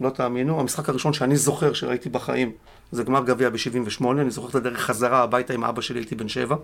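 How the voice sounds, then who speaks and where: A man talks at a very fast pace with medium pitch. His intonation stays fairly even. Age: 50s. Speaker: football club security officer. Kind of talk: casual interview. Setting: studio.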